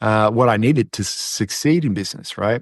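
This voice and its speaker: The speaker has an Australian accent and a fairly quick pace. The sound is dry and close with no echo, and the background is quiet. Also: man. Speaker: masculinity coach. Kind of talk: podcast interview.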